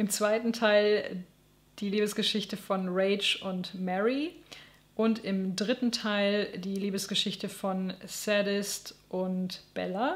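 A woman's very slow speech with fairly even intonation. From West Germany. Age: 30s. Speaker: book YouTuber. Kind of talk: book review monologue. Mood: amused, self-deprecating. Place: home room.

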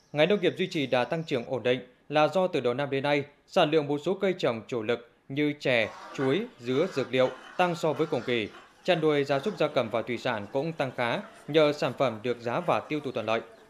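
This man has a plain, everyday voice, pitched fairly high. He talks at a fairly quick pace with ordinary pitch variation. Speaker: news anchor. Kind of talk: news reading. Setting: studio.

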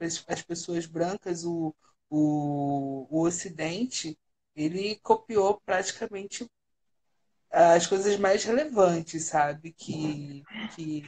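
A woman with a fairly low pitch and ordinary pitch variation speaks at a very slow pace. She leaves long, frequent pauses. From Brazil, Rio de Janeiro (Baixada Fluminense); Rio de Janeiro, Brazil. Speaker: international relations writer; radio guest. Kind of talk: casual chat. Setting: online livestream call. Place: home room. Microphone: video call.

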